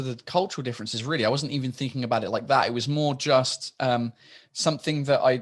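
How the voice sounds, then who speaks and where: A man with a British accent at a fairly quick pace, with ordinary pitch variation and a quiet background. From England. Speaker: stand-up comedian. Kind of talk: interview answer.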